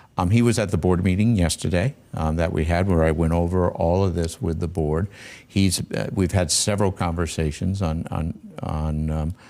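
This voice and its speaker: A man's very deep, low voice, dark and mellow, at a moderate pace with ordinary pitch variation. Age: 70s. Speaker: university president. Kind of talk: TV interview. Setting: studio. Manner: halting, many fillers.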